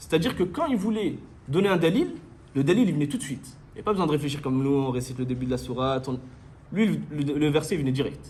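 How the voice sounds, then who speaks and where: A man talks at a very fast pace in a fairly high pitch with vocal fry. Room echo is audible. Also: ordinary pitch variation. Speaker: Islamic religious teacher. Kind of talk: lecture.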